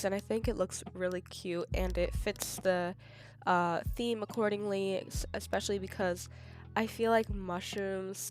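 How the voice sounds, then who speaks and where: Female speech at a moderate pace, backed by music. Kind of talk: craft tutorial voiceover. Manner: casual, chatty.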